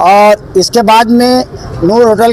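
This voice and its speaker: There is noticeable background noise. The voice has ordinary pitch variation. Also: man. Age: 60s. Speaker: local supporter of a candidate. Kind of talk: street interview.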